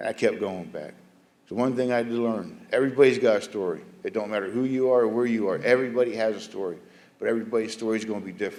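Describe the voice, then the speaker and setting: Speaking very fast with an American accent, a man talks at medium pitch with ordinary pitch variation. Room echo is audible. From South Florida. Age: 50s. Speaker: former prisoner. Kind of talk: testimony.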